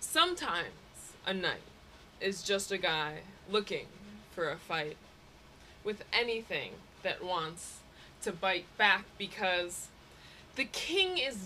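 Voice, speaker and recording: Over light background noise, a woman speaks at a very slow pace with very wide pitch swings. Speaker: poet. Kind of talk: slam poetry performance. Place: home room. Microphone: phone near.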